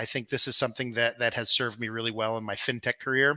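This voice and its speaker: Against a quiet background, a man with an ordinary speaking voice and an American accent talks at medium pitch in a dry, close sound with no echo. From Peru (American family). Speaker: crypto company executive. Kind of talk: interview.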